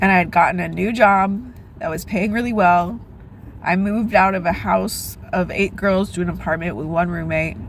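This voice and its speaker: With audible room echo around her, a woman speaks at a moderate speed. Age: 30s. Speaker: vlogger. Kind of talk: casual chat.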